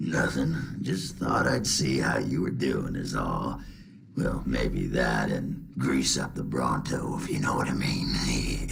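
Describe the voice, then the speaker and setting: Putting on a raspy character voice, a man speaks at a fairly slow pace over clear background noise. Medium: game stream. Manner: gruff, swaggering.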